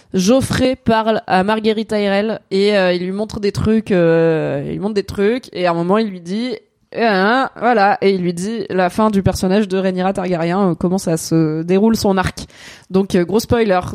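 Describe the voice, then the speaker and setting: Using a normal speaking voice, a woman talks at a medium pitch and fairly slow pace with fairly even intonation on a very clean recording with a silent background. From Alsace, France. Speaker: content creator and streamer. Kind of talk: casual chat. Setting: live stream.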